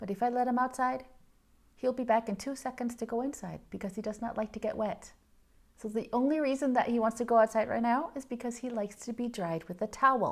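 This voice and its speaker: A woman talks at a very fast pace with a Danish accent. Her pitch is fairly high and her intonation fairly even. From Denmark. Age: 40s. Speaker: knitting podcaster. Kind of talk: casual vlog chat.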